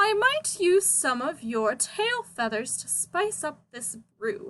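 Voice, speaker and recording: A woman's croaky, put-on character voice, high-pitched and at a fairly slow pace. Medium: read story. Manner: sneering.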